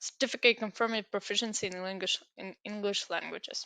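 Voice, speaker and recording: A woman with a Ukrainian accent speaks at a moderate pace in a bright, sharp tone, her intonation monotone and flat against a quiet background. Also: dry, close sound with no echo. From Ukraine. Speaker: student giving application walkthrough. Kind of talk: tutorial. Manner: halting.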